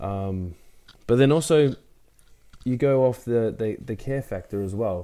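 An Australian-accented man speaks with a dark, mellow tone and ordinary pitch variation on a very clean recording with a silent background. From Brisbane, Australia. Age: 30s. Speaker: CrossFit athlete and gym owner. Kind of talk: casual interview.

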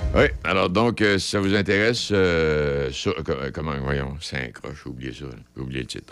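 Vocal fry colors this voice, which moves at a moderate pace with lively intonation. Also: man. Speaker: radio host. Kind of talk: casual chat. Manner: halting.

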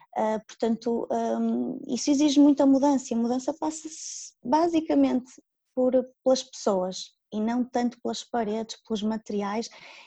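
A woman speaks in a high pitch with a dark, mellow tone. She goes at a fairly slow pace, and her pitch varies in an ordinary way. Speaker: Montessori school coordinator. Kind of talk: interview. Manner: halting.

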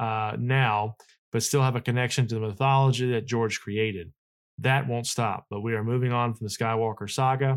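A man speaks at a moderate pace and medium pitch in an ordinary speaking voice, with fairly even intonation, on a very clean recording with a silent background. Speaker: podcast host. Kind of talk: casual chat.

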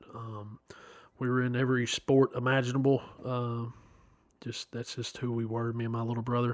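A man in a Tennessee accent, monotone and flat in intonation, with long, frequent pauses. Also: medium pitch for a man, moderate pace. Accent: Southern US (Tennessee). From US South, Chattanooga, Tennessee. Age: 30s. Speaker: guest sharing life story. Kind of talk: testimony. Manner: hesitant, many fillers.

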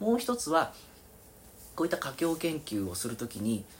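Somewhat breathy, a man speaks at a moderate pace and a fairly high pitch, with very wide pitch swings. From Kobe, Japan. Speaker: researcher. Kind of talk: interview. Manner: halting.

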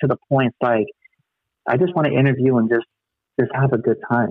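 An ordinary speaking voice, a man with an American accent talks at a fairly quick pace, medium pitch and ordinary pitch variation. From Long Beach, California. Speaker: podcast host, guest. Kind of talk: casual chat.

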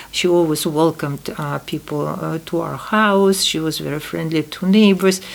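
A woman with a Russian accent speaks at a moderate pace with hardly any pauses. Her voice is fairly low and her intonation fairly even. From Uzbekistan (Tashkent), Soviet Union. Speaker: podcast host's mother. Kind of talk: family conversation. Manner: halting.

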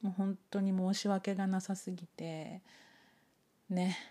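A woman speaks in a relaxed tone with a Japanese accent. Her tone is dark and mellow, on a very clean recording with a silent background. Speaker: podcast host and English teacher. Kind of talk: casual bilingual monologue. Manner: relaxed, unhurried.

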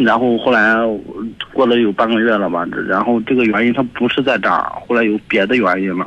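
A man at medium pitch, fairly quick pace and very even loudness, with fairly even intonation over noticeable background noise. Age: 20s. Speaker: radio caller. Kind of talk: phone call-in. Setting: phone call.

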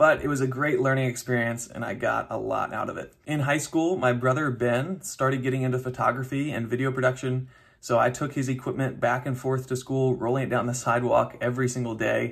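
With an American accent, a man speaks at a fairly quick pace with hardly any pauses, his somewhat breathy voice held in a monotone, flat intonation. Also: medium pitch for a man. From US South, North Carolina (Raleigh). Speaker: podcast host. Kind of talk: monologue.

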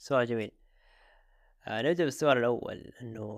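A man's medium-pitched voice at a moderate pace, an ordinary speaking voice with fairly even intonation. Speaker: podcast production founder. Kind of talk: casual interview.

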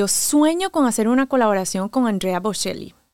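A woman with a coastal Colombian accent speaks at a fairly slow pace. Her fairly high voice has lively intonation. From Caribbean coast of Colombia. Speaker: DJ and violinist. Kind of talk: interview. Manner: swallows word endings when accent shows.

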